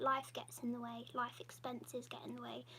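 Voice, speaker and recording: The speaker has an English accent and moves at a fairly quick pace. Noticeable background noise runs through the clip. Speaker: YouTuber hosting patron livestream. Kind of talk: casual livestream Q&A.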